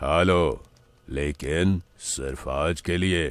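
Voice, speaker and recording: Adopting a put-on character voice, a man pitches his speech very deep and low. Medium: read story. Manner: slow, grave and ominous.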